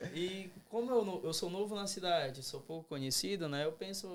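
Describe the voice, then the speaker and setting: Noticeable background noise accompanies a man talking at a moderate pace with ordinary pitch variation. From Belém, Pará, northern Brazil. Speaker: dentistry student. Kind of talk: casual podcast interview.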